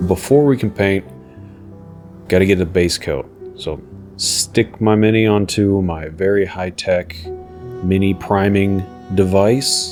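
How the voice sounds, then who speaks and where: A man's fairly low voice at a very slow pace, with music in the background. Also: ordinary pitch variation. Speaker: miniature painter. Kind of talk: tutorial voice-over narration.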